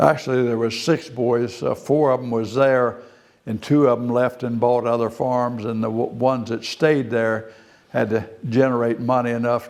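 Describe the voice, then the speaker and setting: With an American accent, a man talks at a medium pitch in a monotone, flat intonation. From Maryland, US. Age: 80s+. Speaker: retired farmer. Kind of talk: oral history interview.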